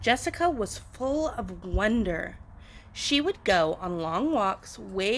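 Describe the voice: What this recording offers is plain reading aloud.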